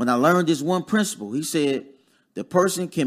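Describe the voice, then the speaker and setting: An unremarkable speaking voice from a man with an American accent, fairly high pitch, lively intonation, and a fairly quick pace. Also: very clean recording, silent background. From Dayton, Ohio (US Midwest). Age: 30s. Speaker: real estate investor. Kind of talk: casual chat.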